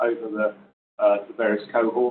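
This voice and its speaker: There is light background noise behind a man speaking. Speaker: banking lecturer, former bank treasury professional. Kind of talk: informal talk to audience. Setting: room with live audience and online stream. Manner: soft-spoken. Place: meeting room.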